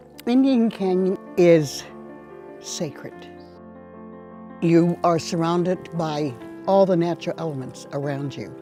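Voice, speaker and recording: Over music in the background, a woman with a fairly low pitch speaks at a fairly slow pace with lively intonation and long, frequent pauses. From Indian Canyon, Hollister, California. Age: old. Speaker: Ohlone elder and land steward. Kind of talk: documentary interview answer.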